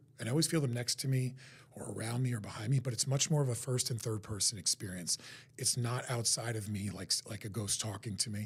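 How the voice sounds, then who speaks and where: A man with an American accent talks very fast at a medium pitch, his somewhat breathy voice rising and falling in an ordinary way. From New Jersey, US. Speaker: psychic medium. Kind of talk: live-stream talk to viewers. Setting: live online stream.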